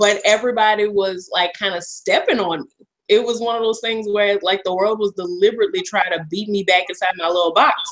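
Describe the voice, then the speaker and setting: A woman uses a plain, everyday voice at a medium pitch. Her pace is fairly quick and her intonation fairly even. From US South, South Louisiana. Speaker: comedian. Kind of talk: casual chat.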